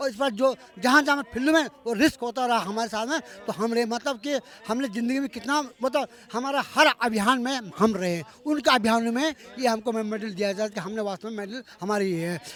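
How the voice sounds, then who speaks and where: Here a man speaks at a moderate pace with ordinary pitch variation. His pitch is extremely high. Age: 70s. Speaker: army veteran and protest leader. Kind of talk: street interview at a protest. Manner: halting, many restarts.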